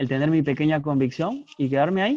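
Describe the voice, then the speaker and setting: A fairly high-pitched male voice with ordinary pitch variation. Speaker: philosophy professor. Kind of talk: lecture.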